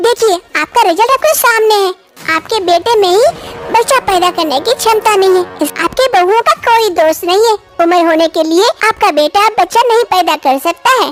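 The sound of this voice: A female-sounding, cartoonish character voice at an extremely high pitch, set over music in the background. The pace is moderate.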